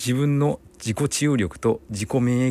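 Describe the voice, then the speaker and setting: The tone is dark and mellow, captured in a very clean recording with a silent background. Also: man. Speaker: physical therapist and podcast host. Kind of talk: solo podcast monologue.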